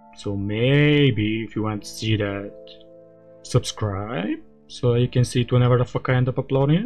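Over faint background music, a man speaks at a moderate pace, his loudness swinging widely while his pitch varies in an ordinary way. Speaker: anime reaction streamer. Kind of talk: casual vlog chat. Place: home room. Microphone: studio mic.

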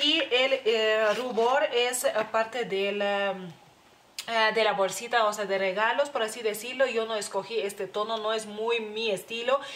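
Her fairly high voice belongs to a woman speaking at a fairly slow pace. Her intonation stays fairly even. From Lithuania. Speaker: beauty youtuber; beauty vlogger. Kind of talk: product review. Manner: halting, many fillers. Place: home room. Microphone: phone near.

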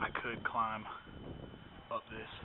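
Fairly slow pace from a man, amid loud background noise. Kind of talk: casual vlog narration. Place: factory. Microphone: phone near.

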